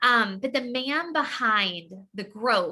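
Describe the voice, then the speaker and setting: A woman speaks with a bright, sharp tone. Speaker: network marketing distributor. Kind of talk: sales pitch.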